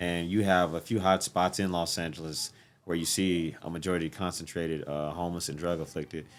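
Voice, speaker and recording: The delivery is flat and monotone, heard over noticeable background noise. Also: man. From St. Louis, Missouri. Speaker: military veteran and community organizer. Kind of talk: casual chat.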